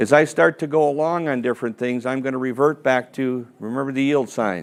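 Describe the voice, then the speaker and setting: A man rattles along very fast at a medium pitch. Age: 60s. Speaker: financial advisor and seminar presenter. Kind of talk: seminar presentation. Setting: seminar room with live audience. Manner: conversational, interactive.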